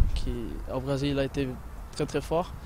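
There is light background noise as a man speaks at a very slow pace, with a dry sound and no echo. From Brazil. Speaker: professional footballer. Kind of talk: interview answer. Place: stadium. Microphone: handheld.

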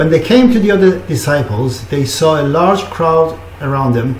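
Fairly slow speech from a man amid audible room echo and light background noise. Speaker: preacher. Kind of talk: scripture reading. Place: home room. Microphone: webcam.

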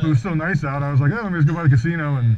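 Amid light background noise, the speech runs at a very fast pace with ordinary pitch variation. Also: man. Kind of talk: casual conversation. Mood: friendly, easygoing. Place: motorbike. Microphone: helmet.

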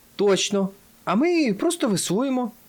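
In a put-on character voice, a man speaks at an extremely high pitch and a moderate pace on a very clean recording with a silent background. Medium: read story.

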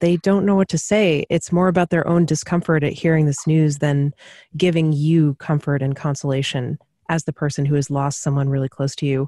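A woman in a dark, mellow tone talks at a fairly quick pace, with a dry, close sound with no echo and a quiet background. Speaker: podcast co-host. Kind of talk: casual chat.

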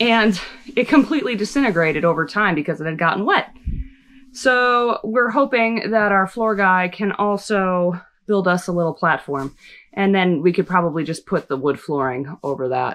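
A woman at a moderate pace with lively intonation. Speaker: renovation vlogger. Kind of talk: casual vlog chat. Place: home room. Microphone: phone near.

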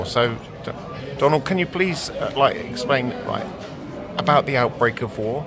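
The speech moves at a fairly slow pace with long, frequent pauses. Noticeable background noise is present. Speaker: interviewer filming. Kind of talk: casual talk to camera. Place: bar. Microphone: phone near.

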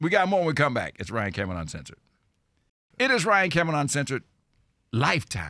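A very fast, animated delivery in a bright, sharp tone, with very wide pitch swings, vocal fry, long and frequent pauses, a quiet background and dry sound with no echo. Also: man. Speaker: radio host. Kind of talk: casual, jokey radio interview. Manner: animated, jovial. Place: studio. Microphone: studio mic.

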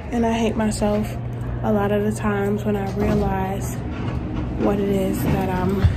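There is loud background noise. Over it, a woman speaks at a fairly slow pace. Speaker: vlogger. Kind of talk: casual vlog chat. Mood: reflective, emotionally candid. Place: hall. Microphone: phone near.

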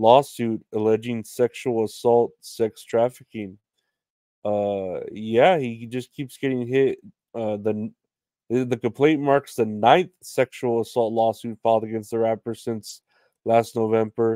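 Fairly slow and fairly even in intonation, a man speaks with a dark, mellow tone. The sound is dry with no echo, and the background is quiet. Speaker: podcast host. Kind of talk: casual comedy podcast commentary. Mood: casual, joking, profane.

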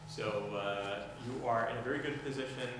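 Strong room echo surrounds the voice, with noticeable background noise underneath. The intonation stays fairly even. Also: man. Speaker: prayer leading instructor. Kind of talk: lecture. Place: church. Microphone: camera far.

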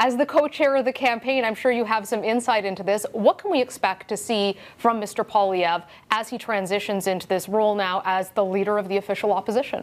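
Speaking at a fairly quick pace, a woman with a fairly high pitch and ordinary pitch variation has a plain, everyday voice. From Canada. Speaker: TV political news host. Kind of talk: news interview. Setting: studio. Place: studio. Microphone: lapel.

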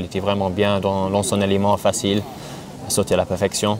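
A man with an English accent talks at a moderate pace and a fairly low pitch. Noticeable background noise is present. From England. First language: English (speaking French). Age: 30s. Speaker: jockey; interviewee. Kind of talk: interview; interview answer. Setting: outdoors. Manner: halting. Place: open country. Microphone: lapel.

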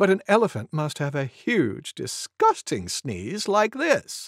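A put-on character voice moves at a fairly slow pace with very wide pitch swings. The sound is dry and close with no echo, in a very clean recording with a silent background. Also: woman, low pitch for a woman.

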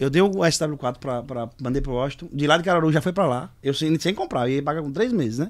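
Ordinary pitch movement in a man's fairly quick delivery. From Brazil, São Paulo. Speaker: musician; guest. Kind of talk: casual chat. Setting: studio. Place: studio. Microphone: studio mic.

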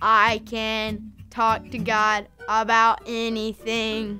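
Over music in the background, a female-sounding voice does a put-on character voice, pitched fairly high and delivered at a very slow pace.

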